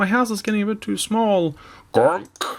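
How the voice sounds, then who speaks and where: A put-on character voice at a fairly high pitch and moderate pace comes through on a very clean recording with a silent background. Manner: grunting, comical.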